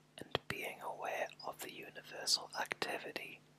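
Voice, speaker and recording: A man is whispering at a very slow pace over noticeable background noise. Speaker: ASMR artist. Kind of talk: ASMR whisper reading of a book chapter. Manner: whispered, soft, slow.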